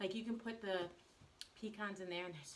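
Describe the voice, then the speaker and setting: Against noticeable background noise, a woman with an American accent talks with ordinary pitch variation. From US South. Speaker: baker and cake artist. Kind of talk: live baking stream. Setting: home kitchen, live on social media. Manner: fast; casual, chatty.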